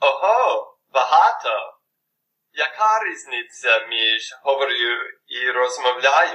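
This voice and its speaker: Man with an English accent at a very slow pace. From United States. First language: English (speaking Ukrainian). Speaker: language learner. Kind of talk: scripted dialogue.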